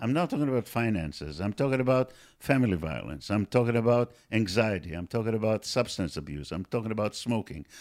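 A man speaks at a very fast pace in a fairly low pitch. His intonation is lively, and the sound is dry and close with no echo. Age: 60s. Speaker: medical professor. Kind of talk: interview.

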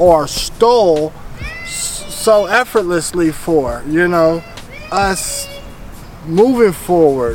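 A man with an American accent speaks at a high pitch with ordinary pitch variation. Noticeable background noise runs behind him. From Northern California, Vallejo. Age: 30s. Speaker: podcast guest. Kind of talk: casual interview.

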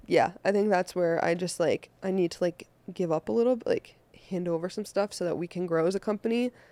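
A woman with an American accent speaks at a fairly quick pace. Her tone is dark and mellow, and the sound is dry and close with no echo. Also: medium pitch for a woman, ordinary pitch variation. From Boston. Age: 20s. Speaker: events company founder. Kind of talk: casual chat.

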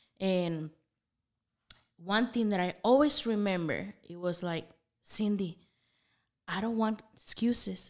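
In a Spanish accent, a woman of medium pitch speaks at a very slow pace with ordinary pitch variation and long, frequent pauses. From Nicaragua. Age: 30s. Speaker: coffee business owner. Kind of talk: casual interview.

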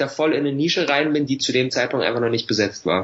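A man speaks at a fairly high pitch and a fairly quick pace. There is noticeable background noise. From Berlin, Germany. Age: 20s. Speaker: online entrepreneur and YouTuber. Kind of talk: podcast interview. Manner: casual, filler-heavy.

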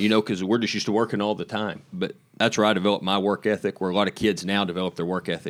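Very fast, monotone, flat delivery with an American accent. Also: man, fairly low pitch for a man. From Oklahoma, farm. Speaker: livestock show organizer. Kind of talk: interview.

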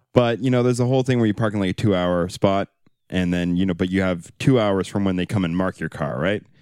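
In a very clean recording with a silent background and a dry, close sound with no echo, a man speaks at a fairly quick pace with ordinary pitch variation in an unremarkable speaking voice. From Kelowna, British Columbia, Canada. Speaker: podcast co-host. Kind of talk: casual chat.

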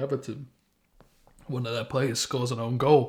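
A man with a Manchester accent speaks at medium pitch with fairly even intonation. His tone is dark and mellow, and somewhat breathy. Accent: Greater Manchester English. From Stockport, Greater Manchester, England. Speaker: football podcast co-host. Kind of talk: casual chat.

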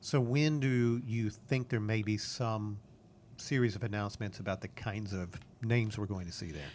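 A normal speaking voice from a man, pitched fairly low and moving at a moderate pace. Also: ordinary pitch variation. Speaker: podcast host. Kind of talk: casual interview.

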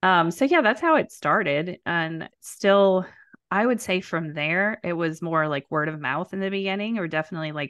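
A woman with an ordinary speaking voice talks at a moderate pace and fairly low pitch. The sound is dry and close with no echo, and the background is quiet. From New Orleans, US South. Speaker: nurse turned career coach. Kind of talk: interview conversation.

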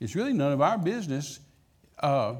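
With a West Texas accent, a man talks in lively intonation at a fairly high pitch. Audible room echo surrounds his voice. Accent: West Texas drawl. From West Texas, Midland. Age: 70s. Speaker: traveling evangelist. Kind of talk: sermon. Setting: church.

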